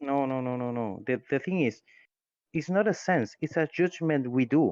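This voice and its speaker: A man with a non-native accent speaks at a moderate pace with lively intonation and a fairly high pitch. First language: Spanish. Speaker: atheist community member. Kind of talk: heated debate. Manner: halting.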